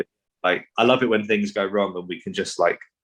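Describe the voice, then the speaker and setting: This man talks at a fairly quick pace in a fairly low pitch. His intonation is fairly even. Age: 30s. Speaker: comedy band musician. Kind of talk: podcast interview.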